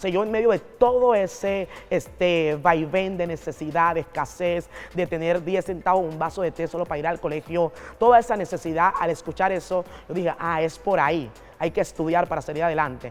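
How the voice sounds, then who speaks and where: Music plays in the background as a woman talks at a moderate pace. Her pitch is fairly low, with ordinary variation. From Panama, Colón province. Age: 40s. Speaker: pastor. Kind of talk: interview testimony. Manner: oratorical.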